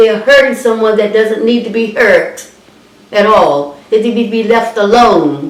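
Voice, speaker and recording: Over noticeable background noise, a woman with a fairly high pitch speaks at a fairly slow pace with lively intonation. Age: 80s+. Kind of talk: interview answer. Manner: angry.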